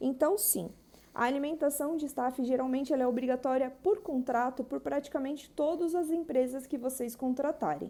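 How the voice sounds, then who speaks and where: This woman's voice sits high and has a dark, mellow tone. She talks at a moderate pace with ordinary pitch variation. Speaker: wedding planner. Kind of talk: live stream Q&A. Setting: Instagram live.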